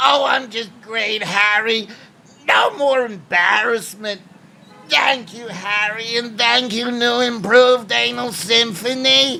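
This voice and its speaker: A man in a put-on character voice speaks in a raised, projected voice at an extremely high pitch and a fairly slow pace. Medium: comedy sketch. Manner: stammering, fretful.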